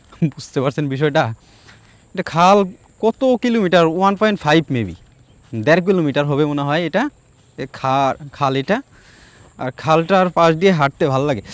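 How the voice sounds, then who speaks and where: A normal speaking voice from a man, fairly high in pitch with lively intonation, dry and close with no echo. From Bangladesh, Tangail (Madhupur area). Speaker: travel vlogger. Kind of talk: casual vlog narration. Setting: outdoors.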